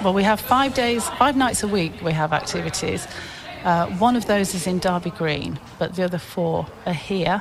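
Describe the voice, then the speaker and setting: Lively in intonation, a woman speaks at a medium pitch and moderate pace. Noticeable background noise runs underneath. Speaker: youth charity volunteer. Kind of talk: radio interview.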